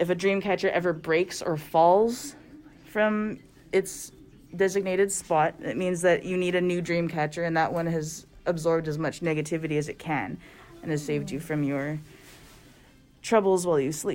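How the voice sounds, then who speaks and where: This woman speaks with a Canadian Prairies accent. Her pitch is fairly low, and her pace is moderate. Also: ordinary pitch variation. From Canada, Winnipeg, Manitoba. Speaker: artist, workshop facilitator. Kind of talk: casual chat during a craft workshop. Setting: art studio workshop.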